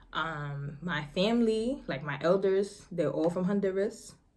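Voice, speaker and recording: Medium-pitched woman with an American accent, a moderate pace and audible room echo. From New York City, Harlem. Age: 20s. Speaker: vlogger. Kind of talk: casual chat.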